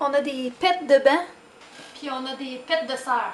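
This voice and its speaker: In a Quebec accent, a woman speaks very slowly at a high pitch, with a playful tone and lively intonation. Noticeable background noise sits behind her. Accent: Québécois French. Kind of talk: casual talk to camera. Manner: spontaneous, playful.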